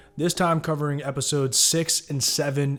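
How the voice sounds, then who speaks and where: With fairly even intonation, this is an ordinary speaking voice. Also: man. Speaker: YouTube TV show recapper. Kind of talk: TV episode recap narration.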